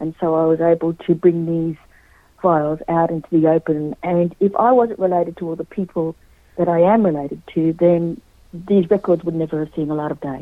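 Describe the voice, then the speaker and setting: A woman talks at a fairly quick pace with a fairly low pitch. Her intonation is fairly even, but her loudness swings a lot. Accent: Australian. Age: 50s. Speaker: historian and author. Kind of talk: radio interview.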